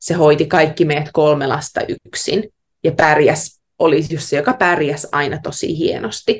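Somewhat breathy and very deep, a woman's voice moves at a fairly slow pace with ordinary pitch variation. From Finland, Savo (Heinävesi). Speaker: yoga teacher and new mother. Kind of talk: casual interview conversation. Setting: remote call from Australia.

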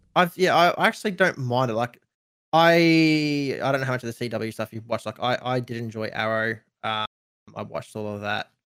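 A man with an Australian accent talks fairly quickly at a medium pitch. His intonation is lively. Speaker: streamer and content creator. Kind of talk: casual chat.

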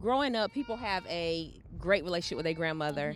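With a Southern US accent, a woman speaks in a fairly low pitch. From North Carolina (Charlotte). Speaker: abuse survivor and author. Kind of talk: testimony.

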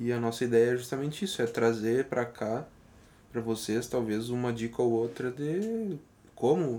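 The speaker is a man with an ordinary speaking voice. He has a medium pitch and keeps a moderate pace. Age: 20s. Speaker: podcast co-host, journalist and musician. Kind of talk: casual chat.

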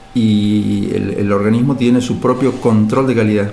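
Fairly slow speech with fairly even intonation, plus audible room echo and noticeable background noise. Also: man. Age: 50s. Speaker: biochemist, geneticist. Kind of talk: interview. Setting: university laboratory. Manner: halting.

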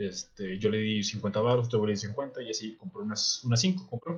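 The man's intonation is lively. There is a somewhat breathy quality to his voice. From Monterrey, northern Mexico. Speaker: podcast co-host. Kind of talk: casual chat. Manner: animated.

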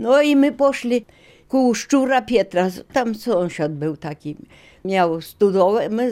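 Dark, mellow tone at a very slow pace on a very clean recording with a silent background. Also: woman. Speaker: eyewitness. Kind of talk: testimony.

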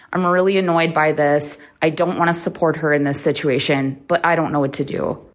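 A woman speaks at a fairly quick pace in a very deep, low pitch. Her intonation is monotone and flat, with very even loudness. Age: 30s. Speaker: caller. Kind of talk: recorded voicemail question.

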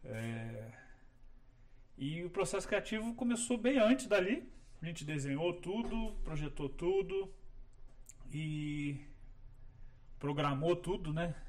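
The voice moves at a very slow pace with long, frequent pauses. Its pitch swings very widely. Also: man, high pitch for a man. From Rio de Janeiro, Brazil. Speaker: landscape architect. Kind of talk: casual chat. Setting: studio video podcast, live stream.

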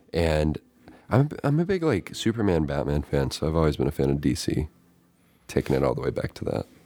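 Soft-spoken and very deep, a man talks at a fairly quick pace in a dark, mellow tone with vocal fry and ordinary pitch variation. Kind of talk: casual chat.

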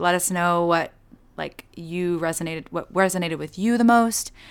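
A woman's medium-pitched voice with ordinary pitch variation at a moderate pace, in a very clean recording with a silent background. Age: 20s. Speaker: podcast host. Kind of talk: casual chat.

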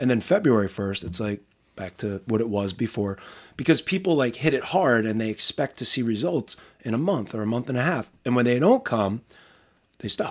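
With an American accent, a man talks at a moderate pace and medium pitch, using lively intonation in a normal speaking voice. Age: 40s. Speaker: podcast host and teacher. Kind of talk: casual interview. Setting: home studio.

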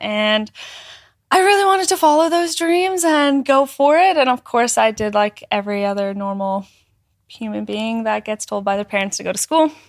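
A woman with a Canadian accent, a plain, everyday voice, moderate pace. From northern Alberta, Canada. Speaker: content creator. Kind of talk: casual chat. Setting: studio.

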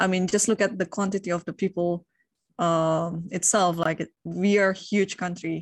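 A woman with an Indonesian accent speaks at a moderate pace and medium pitch. Her intonation is flat and monotone. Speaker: professional chess player. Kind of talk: casual interview.

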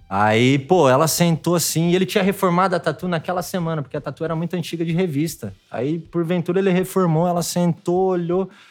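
Speaking with hardly any pauses, a man uses a high pitch. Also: ordinary pitch variation, fairly quick pace. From interior of São Paulo state, Brazil. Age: 30s. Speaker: tattoo artist. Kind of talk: casual chat.

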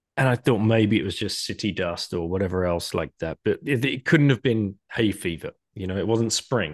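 Against a quiet background, a man with an unremarkable speaking voice talks at a moderate pace and fairly low pitch, with ordinary pitch variation and a dry, close sound with no echo. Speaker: podcast host. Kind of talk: casual interview. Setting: video call.

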